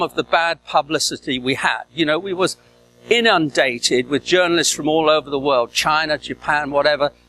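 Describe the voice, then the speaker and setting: A man with a fairly high pitch and a bright, sharp tone is heard in a dry, close sound with no echo. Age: 70s. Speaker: serial entrepreneur and invited speaker. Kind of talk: conference talk. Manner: halting, many filler sounds.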